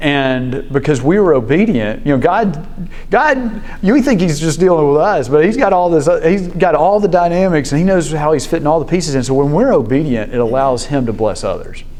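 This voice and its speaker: With a Southern US accent, a man talks fairly quickly in a fairly high pitch, using lively intonation, hardly any pauses and very even loudness, amid noticeable background noise and audible room echo. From Memphis, Tennessee (US South). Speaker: business executive sharing faith story. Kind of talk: testimony. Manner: hesitant, many fillers and restarts.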